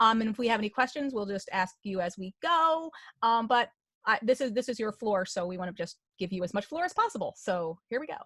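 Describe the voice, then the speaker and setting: A woman with a fairly high pitch and a normal speaking voice talks at a fairly quick pace with lively intonation. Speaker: host of advocacy web chat. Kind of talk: online round table host intro.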